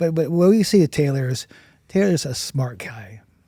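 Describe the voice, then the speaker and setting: Somewhat breathy, with a dark, mellow tone, a man speaks at a moderate pace using lively intonation. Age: 60s. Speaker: burn survivor and charity founder. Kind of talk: interview. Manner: halting.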